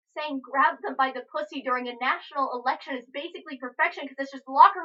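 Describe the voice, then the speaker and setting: Very fast and raised in projection, a woman speaks at a high pitch in a bright, sharp tone. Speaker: spoken word poet. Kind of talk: spoken word poetry performance.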